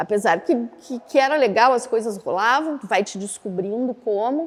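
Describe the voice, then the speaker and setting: A woman talks at a moderate pace in a fairly high voice. Her tone is animated and her intonation lively. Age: 60s. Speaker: actress and death doula. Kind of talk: interview testimony. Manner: animated, conversational.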